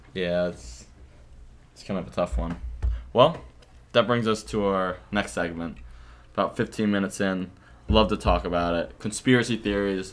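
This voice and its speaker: Over music in the background, a man with a fairly low pitch speaks at a moderate pace, with big swings in loudness and long, frequent pauses. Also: lively intonation. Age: 20s. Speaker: podcast host. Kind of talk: casual chat.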